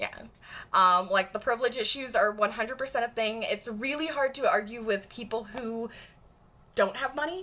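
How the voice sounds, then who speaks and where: A woman speaks at a moderate pace with a Michigan accent, her fairly high pitch carrying ordinary pitch variation and an animated tone, broken by long, frequent pauses. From US Midwest, Michigan suburbs. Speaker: live streamer. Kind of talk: live stream chat. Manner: casual, animated.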